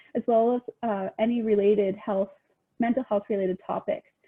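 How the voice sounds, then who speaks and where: A woman's unremarkable speaking voice, fairly high in pitch, with ordinary pitch variation at a moderate pace. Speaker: health information liaison officer. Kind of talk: presentation.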